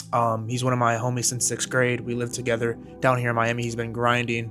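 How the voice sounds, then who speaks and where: Quiet and fairly quick, a man with an American accent speaks at medium pitch in a monotone, flat delivery while music plays in the background. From US Midwest, Michigan. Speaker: fitness coach and vlogger. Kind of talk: personal vlog monologue.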